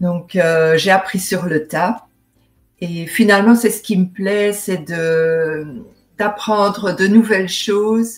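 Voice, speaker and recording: A woman talks at a very slow pace, her medium pitch showing ordinary variation. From Belgium, Seraing (Liège area). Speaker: novelist and painter. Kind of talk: interview. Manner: hesitant, many fillers.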